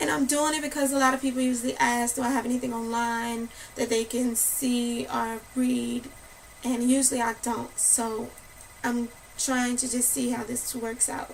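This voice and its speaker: A woman with a high pitch speaks in monotone, flat intonation at a moderate pace. Noticeable background noise is present. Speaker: spoken word poet. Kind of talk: casual talk to camera.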